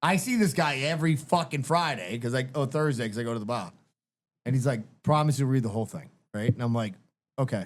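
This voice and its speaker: Someone with a strong Boston accent talks at a very fast pace in an animated tone, with ordinary pitch variation. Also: man, medium pitch for a man. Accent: Boston accent, strong and getting stronger. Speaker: podcast host. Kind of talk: casual chat.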